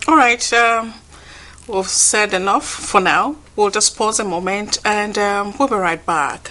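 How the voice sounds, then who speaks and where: With a plain, everyday voice, a woman speaks at a fairly slow pace with ordinary pitch variation. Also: fairly high pitch for a woman. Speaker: TV talk show host. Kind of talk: TV interview questions.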